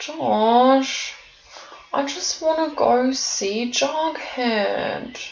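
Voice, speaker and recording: A female-sounding, put-on character voice speaks very slowly, soft-spoken and whiny. Its pitch is high. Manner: whining, pleading.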